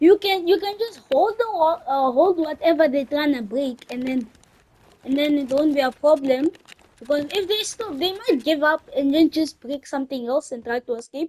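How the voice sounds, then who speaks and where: A woman speaks at a high pitch and a moderate pace, with a non-native accent and lively intonation. The sound is dry and close with no echo. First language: not English. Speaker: gaming YouTuber. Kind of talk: gameplay tutorial. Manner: halting, many restarts.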